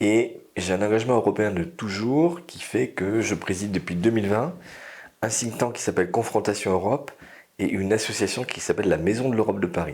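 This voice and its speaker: A man speaks in an ordinary speaking voice, fairly low in pitch with ordinary pitch variation, at a fairly quick pace. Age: 60s. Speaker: energy consultant. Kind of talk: interview.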